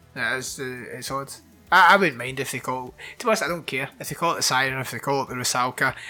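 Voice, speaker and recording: A man of medium pitch speaks at a very fast pace while music plays in the background. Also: ordinary pitch variation. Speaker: podcast host, horror film reviewer. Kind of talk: casual chat, film review. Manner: casual, swears.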